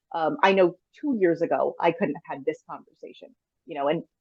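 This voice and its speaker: This woman talks at a fairly quick pace. Her intonation is lively. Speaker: trauma survivor and coach. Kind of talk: interview. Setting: video call. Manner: animated.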